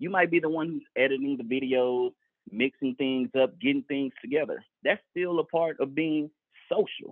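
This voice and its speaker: A man with an American accent and an unremarkable speaking voice, fairly high in pitch, with ordinary pitch variation at a moderate pace. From Texas, San Antonio. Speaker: retail store manager. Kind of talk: interview.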